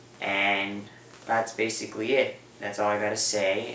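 A man talks at a moderate pace in a fairly low voice. Light background noise and audible room echo are present. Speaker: video blogger. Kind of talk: casual vlog chat. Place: home room. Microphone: camera far.

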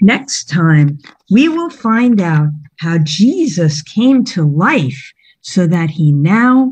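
Over a quiet background, a woman speaks very slowly in a somewhat breathy, solemn, dramatic tone with very wide pitch swings. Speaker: Bible storyteller. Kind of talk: dramatic narration of a Bible story, felt-board storytelling with a prayer at the end. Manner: solemn, dramatic, reverent. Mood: gentle, reverent. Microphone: video call.

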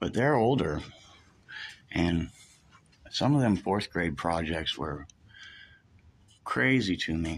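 A man with vocal fry speaks very slowly, his pitch swinging very widely. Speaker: self-described news reporter filming. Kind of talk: casual narration while filming. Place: office. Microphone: phone near.

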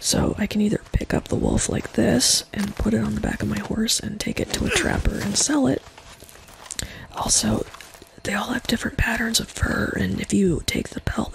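A woman whispers in a calm tone at a moderate pace. Noticeable background noise can be heard. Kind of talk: casual gameplay commentary. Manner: soft-spoken, calm.

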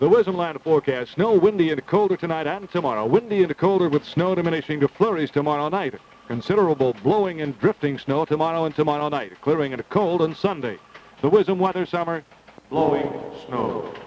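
Over light background noise, a man talks at a fairly quick pace with ordinary pitch variation in a dry sound without echo. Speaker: radio newscaster. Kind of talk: news reading. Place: studio. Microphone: old recording.

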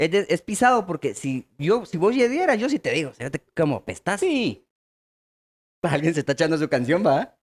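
With a Guatemalan accent, a man speaks at a moderate pace, leaving long, frequent pauses. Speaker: comedy podcast co-host. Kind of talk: casual chat. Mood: relaxed, joking. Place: studio. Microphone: studio mic.

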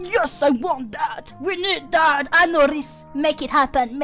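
Clear music plays in the background as a woman uses a put-on character voice at a fairly slow pace. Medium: virtual streamer. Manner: brash, blunt, grumpy.

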